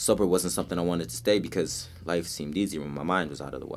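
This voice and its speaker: Speaking at a very fast pace, a man with a very deep, low pitch shows vocal fry and ordinary pitch variation. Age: 20s. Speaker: spoken word poet and dancer. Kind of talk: spoken word poetry performance; casual chat. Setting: studio.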